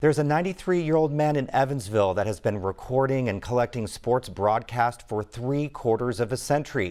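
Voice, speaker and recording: Here is a man with a normal speaking voice at medium pitch. He barely pauses at all. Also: lively intonation, fairly quick pace. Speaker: news anchor. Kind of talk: TV news intro read.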